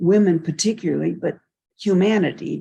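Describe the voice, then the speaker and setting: A woman speaks very slowly with a fairly low pitch, a dark, mellow tone and vocal fry. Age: 80s+. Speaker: mystic and sound healer. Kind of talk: interview.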